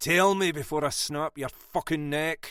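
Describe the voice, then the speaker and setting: Using a put-on character voice with a fairly high pitch, a man talks at a moderate pace, with hissing in the sound. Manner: hissed through gritted teeth, menacing.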